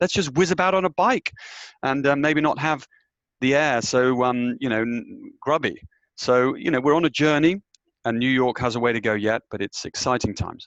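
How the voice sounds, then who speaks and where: A man with a British accent, recorded with a dry, close sound with no echo over a quiet background. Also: fairly high pitch for a man, ordinary pitch variation, moderate pace. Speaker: business executive. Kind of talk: panel discussion.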